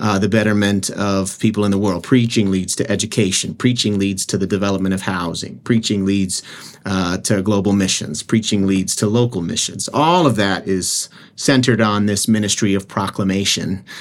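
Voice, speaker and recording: A man with an American accent and fairly low pitch talks at a moderate pace in a plain, everyday voice. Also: fairly even intonation. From South Jersey, US. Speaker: seminary professor and author. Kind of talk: interview.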